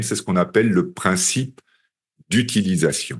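A man speaks at a medium pitch with lively intonation. His pace is fairly slow. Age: 50s. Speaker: hypnotherapy trainer. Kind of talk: webinar presentation. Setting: webinar. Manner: animated.

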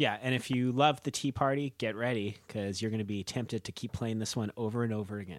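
A man's medium-pitched voice at a very fast pace, hardly any pauses, fairly even intonation, on a very clean recording with a silent background. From Canada, Manitoba early childhood. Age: 30s. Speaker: podcast co-host. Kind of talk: casual chat.

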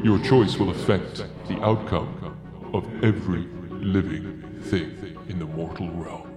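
Over clear background noise and a clear echo, a man uses a put-on character voice, very deep and low, at a fairly slow pace. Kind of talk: solemn prophecy. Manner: grave, portentous.

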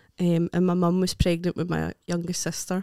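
In a Scottish accent, a woman speaks at a fairly low pitch with a dry, close sound and no echo. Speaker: comedian. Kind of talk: casual chat.

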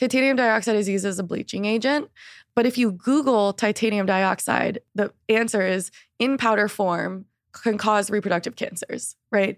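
A woman with a normal speaking voice, fairly high in pitch, with fairly even intonation at a moderate pace, in a dry, close sound with no echo and a very clean recording against a silent background. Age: 20s. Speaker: period activist and brand founder. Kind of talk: casual interview.

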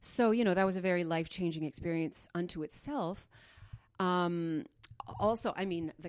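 With a Canadian accent and a normal speaking voice, a woman talks at a fairly quick pace on a very clean recording with a silent background. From Northern Ontario, Canada. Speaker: classical and cabaret singer. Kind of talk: casual interview.

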